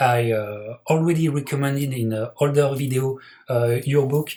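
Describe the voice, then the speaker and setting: With a French accent, a man speaks at a fairly slow pace and a fairly high pitch. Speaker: boxing podcast host. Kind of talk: interview host introduction.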